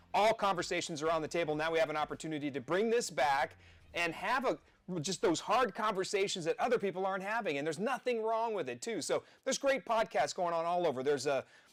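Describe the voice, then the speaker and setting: Loud and energetic, a man with an American accent speaks very fast in a high voice with lively intonation. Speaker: podcast host, former city councilman. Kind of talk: live political podcast monologue. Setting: studio, live stream. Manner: energetic, rambling.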